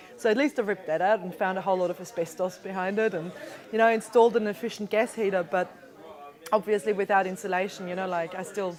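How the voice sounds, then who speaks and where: A woman at medium pitch talking at a very fast pace with fairly even intonation, crowd noise behind her. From Austria. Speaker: energy efficiency professional. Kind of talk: interview. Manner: hesitant, many fillers.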